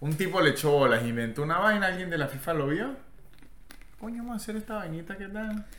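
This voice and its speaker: The voice moves at a very fast pace with very wide pitch swings. Audible room echo and noticeable background noise come through. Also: man, high pitch for a man. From Venezuela. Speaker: comedian. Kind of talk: casual chat. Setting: hotel room.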